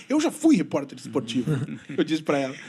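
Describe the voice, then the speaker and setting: Noticeable background noise runs under a man's voice. He speaks at a very fast pace with very wide pitch swings. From Brazil, Rio Grande do Sul (western border). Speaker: journalist. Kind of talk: podcast interview.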